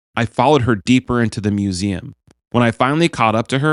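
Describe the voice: The reading aloud is plain, and the background is quiet.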